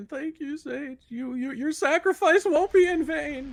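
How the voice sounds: Using a put-on character voice, the speaker talks at a high pitch and a moderate pace.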